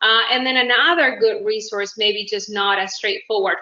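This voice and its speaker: Talking with a Uruguayan accent, a woman uses a fairly high pitch with ordinary variation at a moderate pace. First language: Spanish. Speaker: independent business owner. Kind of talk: networking self-introduction. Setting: video call.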